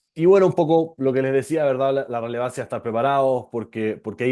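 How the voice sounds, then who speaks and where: In a medium pitch with a dark, mellow tone, a man speaks at a very fast pace with ordinary pitch variation. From Chile. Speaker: venture capital lawyer. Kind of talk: online presentation. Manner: hesitant, many fillers.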